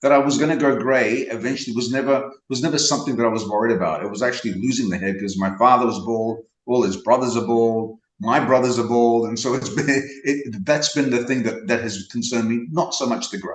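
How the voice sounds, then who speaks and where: A man talks at a fairly quick pace with hardly any pauses. Room echo can be heard. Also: medium pitch for a man, ordinary pitch variation. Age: 60s. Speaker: interview guest. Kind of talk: casual interview.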